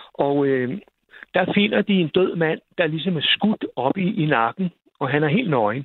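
Fairly slow and fairly high-pitched, a man speaks in an unremarkable speaking voice with lively intonation and very even loudness. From Zealand, Denmark (near Roskilde). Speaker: radio caller. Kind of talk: storytelling.

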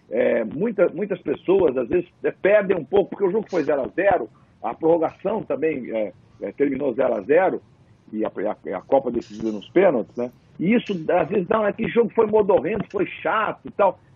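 A man speaks at a moderate pace in a high pitch. His voice swings very widely in pitch. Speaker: sports commentator. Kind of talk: casual panel discussion.

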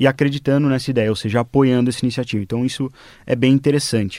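An ordinary speaking voice from a man at medium pitch, with fairly even intonation and a very clean recording with a silent background. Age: 20s. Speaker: fintech CEO. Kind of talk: radio panel interview.

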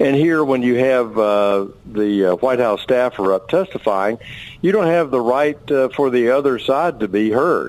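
A man with an American accent and a normal speaking voice speaks at a fairly slow pace, his medium pitch showing ordinary variation. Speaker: congressman. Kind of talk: radio interview.

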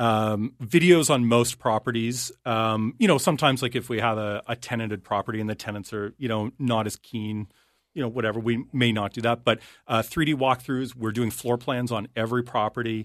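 A plain, everyday voice at a moderate pace, fairly even intonation, a dry, close sound with no echo, and a quiet background. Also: man, medium pitch for a man. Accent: Canadian. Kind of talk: casual chat. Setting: studio.

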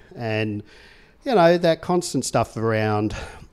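Speaking with an Australian accent, a man talks at a fairly slow pace with lively intonation. The recording is very clean, with a silent background. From Tasmania, Australia. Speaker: Anglican priest. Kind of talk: interview testimony. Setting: studio office, in person.

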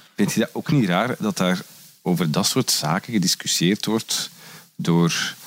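In a Flemish accent, the speaker goes at a fairly slow pace with lively intonation and very even loudness, the sound dry and close with no echo. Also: man, fairly low pitch for a man. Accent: Flemish Dutch. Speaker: podcast host. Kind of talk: casual chat; scripted outro. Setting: indoors, sitting on a couch. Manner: animated.

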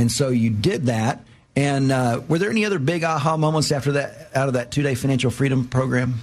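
Speaking at a fairly quick pace, a man with a medium-pitched, somewhat breathy voice keeps his loudness very even and his pitch variation ordinary. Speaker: radio host. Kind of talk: radio host patter, upbeat interview banter. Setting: radio show. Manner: animated, chatty, enthusiastic.

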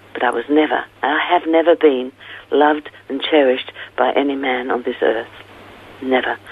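Over noticeable background noise, a woman with a very deep, low pitch speaks at a moderate pace with fairly even intonation and long, frequent pauses. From England (London). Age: 70s. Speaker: author and former pastor. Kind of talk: interview testimony. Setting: phone call.

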